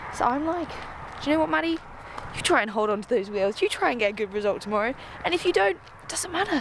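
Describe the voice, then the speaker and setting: Noticeable background noise sits under a woman's fairly high voice. She talks at a very fast pace with very wide pitch swings. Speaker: pro gravel cyclist and vlogger. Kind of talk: casual vlog chat. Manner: animated; whispering.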